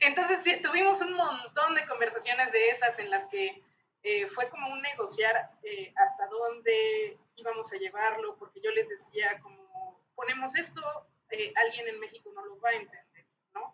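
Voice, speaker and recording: Pitched high with very wide swings, a woman speaks at a fairly slow pace. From Mexico. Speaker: translator. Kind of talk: panel discussion. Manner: halting.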